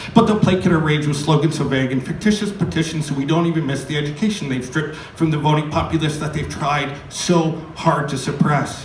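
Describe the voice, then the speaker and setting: An American accent with ordinary pitch variation, over noticeable background noise. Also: man, fairly high pitch for a man, fairly quick pace. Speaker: poet. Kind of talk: live slam poetry performance. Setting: live venue with audience.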